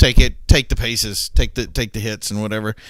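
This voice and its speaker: A man with an American accent, medium-pitched and fairly quick, over noticeable background noise. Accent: southern accent comes out under pressure. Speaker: gaming streamer. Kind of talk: live gameplay commentary. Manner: animated.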